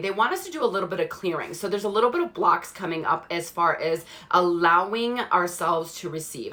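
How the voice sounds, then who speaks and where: A woman at medium pitch is heard with noticeable background noise around her. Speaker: spiritual card reader. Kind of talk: live stream card reading. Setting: live stream. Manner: slowed guided meditation.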